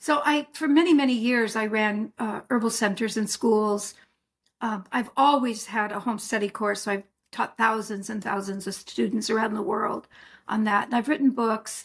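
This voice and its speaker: A woman talks at a moderate pace. Her fairly high voice is somewhat breathy. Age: 70s. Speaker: herbalist and author. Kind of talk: interview.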